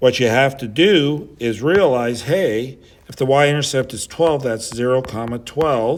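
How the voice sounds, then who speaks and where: In an ordinary speaking voice, a man at medium pitch talks at a fairly slow pace with big swings in loudness. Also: ordinary pitch variation. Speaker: high school math teacher. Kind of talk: tutorial.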